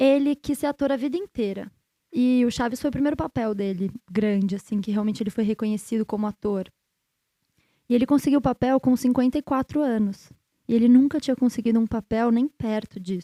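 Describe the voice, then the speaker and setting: With a fairly high pitch and a dark, mellow tone, a woman talks at a fairly quick pace, and the sound is dry and close with no echo. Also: ordinary pitch variation. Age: 30s. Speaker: artist and hypnotherapist. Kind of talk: casual interview chat.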